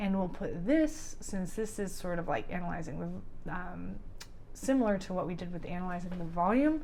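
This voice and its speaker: A woman at medium pitch, lively in intonation and moderate in pace, with audible room echo. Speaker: creative coding instructor. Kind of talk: tutorial. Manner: casual, filler-heavy.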